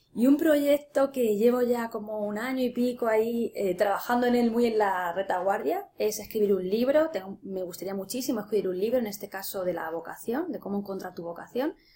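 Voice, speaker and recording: Against noticeable background noise, a woman speaks at a fairly quick pace with hardly any pauses, using a fairly high pitch and ordinary pitch variation. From Spain, Ciudad Real. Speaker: life coach and tarot reader. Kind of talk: interview.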